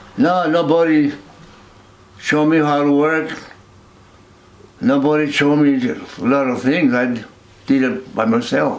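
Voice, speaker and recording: A man's fairly high voice, fairly slow with long, frequent pauses, ordinary pitch variation and very even loudness, in a room with audible echo. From northern New Mexico (Peñasco). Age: 80s+. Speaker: war veteran. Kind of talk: interview. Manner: halting.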